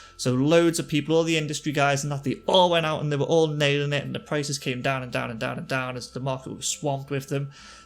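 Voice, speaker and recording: Speaking with a Liverpool accent, a man talks at a very fast pace with hardly any pauses and fairly even intonation, with music in the background. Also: fairly high pitch for a man. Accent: Liverpool-area accent, naturally fast. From northern England, near Liverpool. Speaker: gaming YouTuber. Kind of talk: game commentary tutorial. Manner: casual, with fillers.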